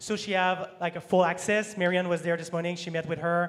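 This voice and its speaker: A man with a French accent speaks in a high voice. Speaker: sponsorship manager. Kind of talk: panel discussion.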